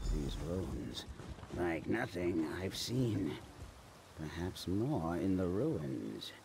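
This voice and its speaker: Over clear background noise, a man uses a put-on character voice with a very deep, low pitch, speaking at a very slow pace with long, frequent pauses. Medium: video game. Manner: haughty, dismissive.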